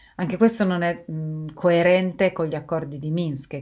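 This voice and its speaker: A woman at a moderate pace with fairly even intonation over a quiet background. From Turin, northern Italy; northern Italy. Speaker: video blogger. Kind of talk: monologue to camera. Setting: recorded video while travelling. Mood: calm, serious. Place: home room. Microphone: webcam.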